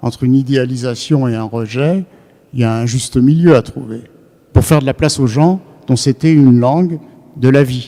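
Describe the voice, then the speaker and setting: A man talks at a moderate pace with a medium pitch. He leaves long, frequent pauses, and his pitch variation is ordinary. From France. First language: Yiddish (speaking French). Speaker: psychoanalyst lecturer. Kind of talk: lecture. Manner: hesitant, many fillers.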